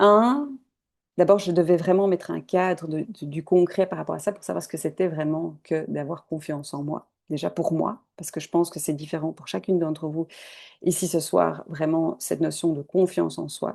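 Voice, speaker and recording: Big swings in loudness and ordinary pitch variation at a moderate pace, against a quiet background. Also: woman, fairly low pitch for a woman. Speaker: holistic coach. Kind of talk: online masterclass.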